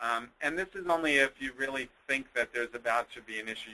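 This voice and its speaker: A man's voice comes through with a bright, sharp tone. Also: dry, close sound with no echo. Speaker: nonprofit administrator presenting on employment law. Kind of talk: webinar presentation. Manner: fast; halting, many fillers.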